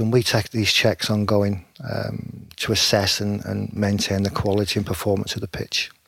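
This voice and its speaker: A fairly low-pitched man in a very clean recording with a silent background. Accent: Lancashire. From northern England, Preston (Lancashire). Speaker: stadium groundkeeper. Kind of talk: casual interview.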